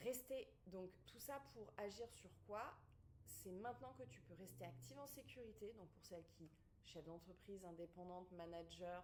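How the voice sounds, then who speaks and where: Very wide pitch swings and vocal fry in an animated tone, at a fairly slow pace, with audible room echo. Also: woman, fairly low pitch for a woman. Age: 40s. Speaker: pregnancy and postpartum fitness coach. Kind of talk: online masterclass presentation.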